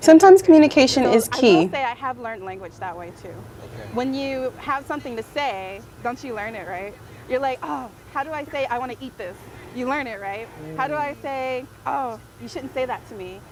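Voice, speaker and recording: A woman with an American accent speaks at a fairly quick pace in a high voice, her intonation lively and her loudness swinging widely. Noticeable background noise runs under her. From Atlanta, Georgia, USA. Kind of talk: casual talk to camera. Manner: upbeat.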